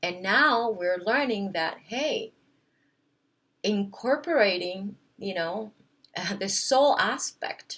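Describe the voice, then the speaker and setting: Speaking very slowly, a woman has a non-native accent. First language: not English. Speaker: wellness vlogger. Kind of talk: casual monologue to camera. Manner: hesitant, many fillers.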